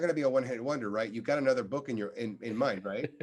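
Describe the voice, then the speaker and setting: A man is speaking. His tone is animated. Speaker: clinical psychologist and author. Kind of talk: interview conversation. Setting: podcast. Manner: loud.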